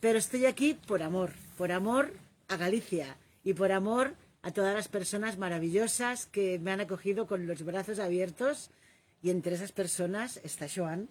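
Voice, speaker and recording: Moderately paced speech from a woman, medium in pitch with ordinary pitch variation. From Catalonia. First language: Catalan (speaking Spanish). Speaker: live stream host. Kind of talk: casual conversation on a live stream.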